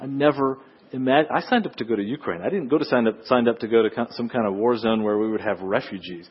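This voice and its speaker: A man speaks in a medium pitch with an American accent. His pace is very fast. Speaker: missionary. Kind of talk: sermon. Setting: church.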